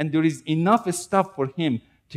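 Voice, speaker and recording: This man moves at a moderate pace over a quiet background. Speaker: preacher. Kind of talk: sermon. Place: church.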